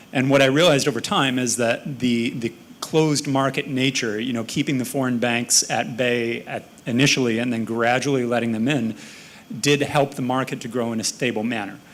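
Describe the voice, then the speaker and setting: Against noticeable background noise, a man with an American accent talks fairly quickly at a medium pitch, his intonation fairly even. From United States. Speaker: panelist. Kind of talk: panel discussion.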